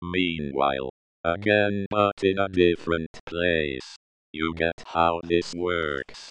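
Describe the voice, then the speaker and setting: A man's put-on character voice, very deep and low, at a very slow pace. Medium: audio drama. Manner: self-important.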